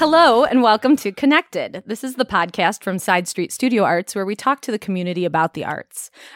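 In a dry, close sound with no echo, a woman with an American accent talks at a fairly quick pace with hardly any pauses, her fairly high pitch swinging very widely. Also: very clean recording, silent background. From Elgin, Illinois, US Midwest. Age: 40s. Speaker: podcast host and arts nonprofit director. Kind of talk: interview.

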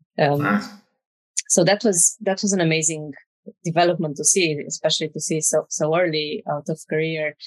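Here a woman speaks with a very deep, low pitch and ordinary pitch variation. The pace is moderate and the sound is dry and close, with no echo. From Romania. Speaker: architect. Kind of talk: interview conversation.

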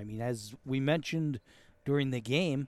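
Speaking in a normal speaking voice with an American accent, a man talks fairly slowly at a fairly high pitch with lively intonation. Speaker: broadcast producer and color commentator. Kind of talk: scripted broadcast intro and sponsor reads. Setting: press booth at outdoor ballfield. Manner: joking, wry.

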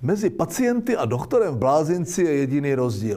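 Very wide pitch swings at a moderate pace. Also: man. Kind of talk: scripted satirical commentary.

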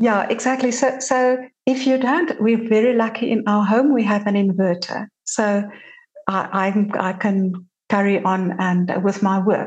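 At a medium pitch and a fairly slow pace, a woman talks with a somewhat breathy sound, very even loudness and ordinary pitch variation. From South Africa. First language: Afrikaans. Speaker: journalist and podcast host. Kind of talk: casual interview chat.

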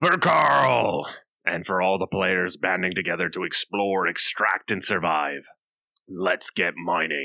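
A man's put-on character voice, very deep and low, raspy and dramatic in tone, at a fairly slow pace. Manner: dramatic rallying.

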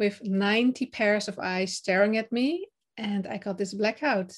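In a very clean recording with a silent background, a woman speaks at a medium pitch with fairly even intonation. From Netherlands. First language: Dutch. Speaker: confidence and speaking coach. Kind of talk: interview, casual chat. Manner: some hesitations and fillers.

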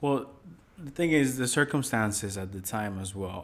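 With a normal speaking voice, a man talks at a moderate pace, his fairly low pitch showing ordinary pitch variation. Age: 20s. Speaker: husband answering questions. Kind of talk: casual chat.

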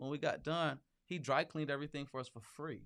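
Fairly quick and fairly high-pitched, a man with an American accent speaks with fairly even intonation. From Flint, Michigan, US Midwest. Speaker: city council candidate. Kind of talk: interview. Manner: halting, repeats words.

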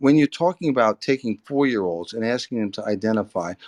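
An ordinary speaking voice from a man, medium in pitch and fairly quick, with lively intonation. The sound is dry and close with no echo, over a quiet background. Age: 60s. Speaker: debate participant. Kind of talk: heated debate.

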